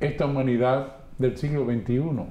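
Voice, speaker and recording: Audible room echo surrounds a man speaking at a fairly slow pace and fairly high pitch. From Dominican Republic, San Pedro de Macorís. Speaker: radio announcer. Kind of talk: testimony.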